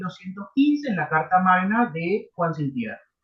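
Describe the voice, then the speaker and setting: A man speaks with a Uruguayan accent at a moderate pace. His pitch is high, and his intonation is lively. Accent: Rioplatense Spanish (Uruguayan). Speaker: university law lecturer. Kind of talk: lecture. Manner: animated.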